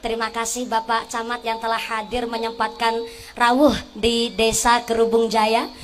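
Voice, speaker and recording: Over music in the background, a woman talks at a high pitch and a moderate pace. The room echo is audible. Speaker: female Islamic preacher. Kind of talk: sermon. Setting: stage with audience, PA system. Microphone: asks sound man to remove echo effect.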